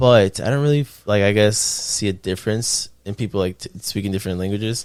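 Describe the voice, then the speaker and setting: This man talks at a fairly quick pace. His fairly low pitch moves with fairly even intonation. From Miami and Ecuador, later Ocala, Florida. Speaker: rapper and videographer. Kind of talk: casual chat. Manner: halting.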